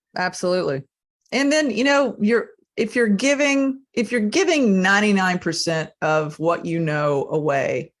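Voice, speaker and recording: A woman's voice at a moderate pace with very wide pitch swings and very even loudness, against a quiet background. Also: medium pitch for a woman. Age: 50s. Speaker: podcast host. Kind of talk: podcast interview.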